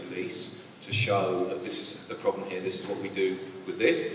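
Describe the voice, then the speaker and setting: Here is a man speaking with a British accent. The room echo is audible, and there is noticeable background noise. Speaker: broadcast research team head. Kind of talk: panel discussion answer. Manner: halting.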